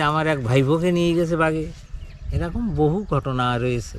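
Fairly high voice of a man amid noticeable background noise and audible room echo. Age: old. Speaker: fisherman and crab catcher. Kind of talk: interview testimony.

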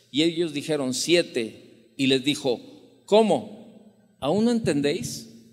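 A man with lively intonation over a quiet background. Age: 60s. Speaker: preacher. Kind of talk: sermon, preaching with personal anecdotes and Bible reading. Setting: church, evening service. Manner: conversational, folksy storyteller, with frequent fillers and repeated words; warm, reflective, fervent in closing prayer. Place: church. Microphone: handheld.

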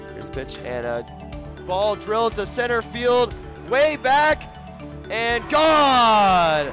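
Music plays in the background while a man speaks at a very slow pace with long, frequent pauses. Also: big swings in loudness. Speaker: play-by-play broadcaster. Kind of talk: live commentary. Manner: animated.

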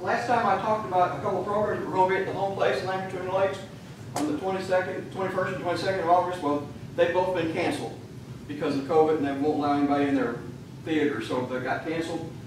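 Speaking with an American accent, a woman has a fairly low pitch. The recording carries audible room echo and noticeable background noise. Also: ordinary pitch variation. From US South. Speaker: church member. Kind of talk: casual remarks at meeting. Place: church. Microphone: camera far.

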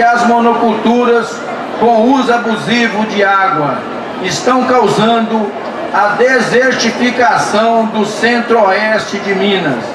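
Noticeable background noise and audible echo from the room surround a man who talks very slowly. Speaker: event reader. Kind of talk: formal declaration read aloud. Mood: solemn, earnest. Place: stage.

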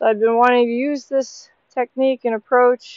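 In a quiet background with a dry sound and no echo, a woman speaks at a fairly slow pace. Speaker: horse trainer. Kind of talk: tutorial. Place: open country.

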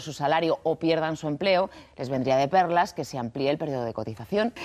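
A woman speaks with a very deep, low voice. Her intonation is lively. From Spain. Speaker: TV presenter. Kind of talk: TV magazine presenting. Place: studio. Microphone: lapel.

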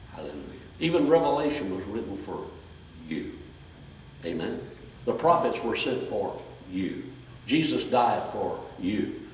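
A man at a moderate pace, with long, frequent pauses, big swings in loudness, audible room echo and light background noise. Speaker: preacher. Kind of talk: sermon. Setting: church with congregation. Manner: animated, exhorting the congregation with call-and-response, raised voice; fervent, repetitive, direct. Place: church. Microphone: camera far.

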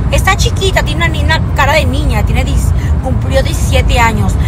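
A woman's voice sounds dry with no echo, against loud background noise. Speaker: social media creator. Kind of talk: casual vlog chat. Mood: warm, grateful. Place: car. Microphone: phone near.

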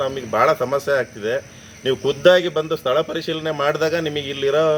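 A man with a plain, everyday voice and fairly even intonation. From Sagar, Shivamogga district, Karnataka. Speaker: local resident complaining. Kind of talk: public complaint to camera.

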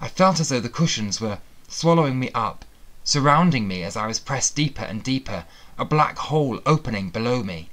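Lively intonation in an unforced reading voice

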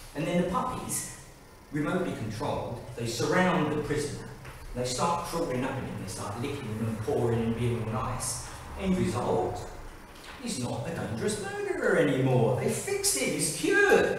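Strong room echo and light background noise surround a man speaking at a moderate pace with lively intonation. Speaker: amateur actor. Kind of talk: theatrical monologue rehearsal. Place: hall. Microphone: camera far.

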